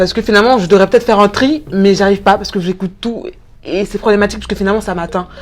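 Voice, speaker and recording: Her words come at a very fast pace. The woman's pitch is medium. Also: ordinary pitch variation. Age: 20s. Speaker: student and show host. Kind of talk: casual interview.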